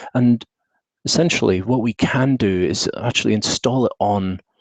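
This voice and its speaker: Recorded with a dry, close sound and no echo, a man speaks with a British accent and ordinary pitch variation. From UK. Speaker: tech consultant and trainer. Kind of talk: webinar presentation. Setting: video call with screen share. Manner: casual with frequent fillers.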